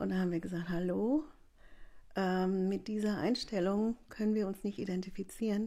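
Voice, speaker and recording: A woman speaks at a moderate pace in a medium pitch. Her tone is dark and mellow, and somewhat breathy. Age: 60s. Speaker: village activist. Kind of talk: interview. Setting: living room.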